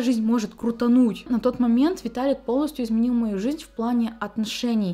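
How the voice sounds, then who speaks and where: A woman talks with a high pitch and a dark, mellow tone. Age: 20s. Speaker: beauty vlogger. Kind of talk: vlog Q&A monologue. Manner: casual, chatty. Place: home room.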